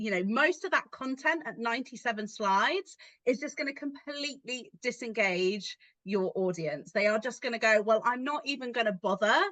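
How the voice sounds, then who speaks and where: A woman speaks at a fairly high pitch with a bright, sharp tone. Her intonation is lively. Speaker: podcast co-host, adult learning specialist. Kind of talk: casual chat. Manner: fast.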